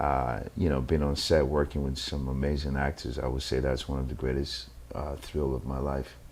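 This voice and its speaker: A man's very deep, low voice in a flat monotone, with audible room echo. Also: moderate pace, hardly any pauses. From Nigeria. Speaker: actor. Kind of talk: interview. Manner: halting, many fillers and repeats.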